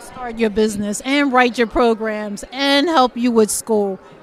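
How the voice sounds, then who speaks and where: Against crowd noise in the background, a woman with a Philadelphia accent talks at a moderate pace and a fairly high pitch. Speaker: youth organization founder. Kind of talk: casual interview.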